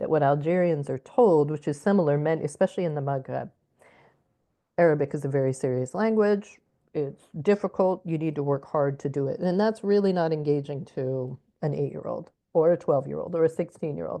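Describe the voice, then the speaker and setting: A woman's very deep, low voice with a dark, mellow tone and an American accent, ordinary pitch variation and a fairly quick pace, against a quiet background. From Alaska, US. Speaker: educator. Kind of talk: interview.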